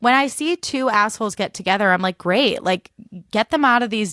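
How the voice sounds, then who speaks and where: On a very clean recording with a silent background and a dry, close sound with no echo, a woman with a Chicago accent speaks in an animated tone with ordinary pitch variation. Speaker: podcast host. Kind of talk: casual monologue. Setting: recording in her bed.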